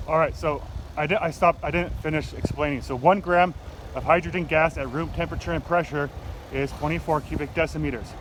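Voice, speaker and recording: A man's fairly high-pitched voice at a moderate pace, fairly even in intonation, over noticeable background noise. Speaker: science teacher. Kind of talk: casual explanatory vlog. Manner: hesitant, many fillers.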